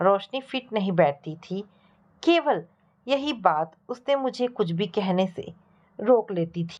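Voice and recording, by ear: Lively intonation, reading aloud in a natural voice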